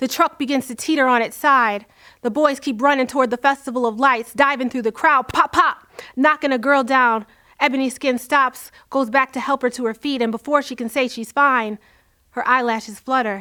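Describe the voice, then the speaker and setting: Projecting her voice, a woman with a high pitch and a bright, sharp tone speaks at a moderate pace with fairly even intonation. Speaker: spoken word poet. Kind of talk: spoken word poetry performance.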